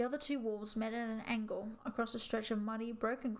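The clip features an unforced reading voice.

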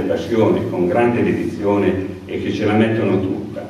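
A man's voice with ordinary pitch variation in strong room echo. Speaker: outgoing mayor presenting candidates. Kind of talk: campaign speech. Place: hall.

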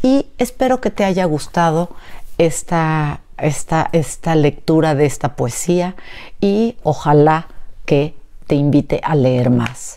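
A woman at a very slow pace, very deep and low in pitch, dark and mellow in tone, with lively intonation and very even loudness. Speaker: educator and book reviewer. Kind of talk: poetry reading aloud, after an informal educational talk. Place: home room. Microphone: lapel.

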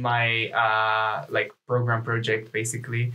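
A man speaks with a Czech accent. His medium-pitched voice has a bright, sharp tone. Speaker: university student. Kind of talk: casual chat. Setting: studio.

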